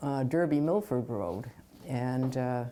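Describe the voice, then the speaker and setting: The voice has a dark, mellow tone and an American accent and moves at a very slow pace. The recording is very clean, with a silent background. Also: woman. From Orange, Connecticut, US. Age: 80s+. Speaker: local resident interviewed about town history. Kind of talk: oral history interview. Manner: halting, many fillers.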